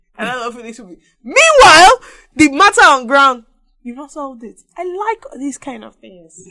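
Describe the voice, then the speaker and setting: Her voice is raised and projected, bright and sharp in tone, high-pitched for a woman. She speaks at a moderate pace with very wide pitch swings. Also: big swings in loudness, dry, close sound with no echo. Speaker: podcast co-host. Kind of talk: casual chat.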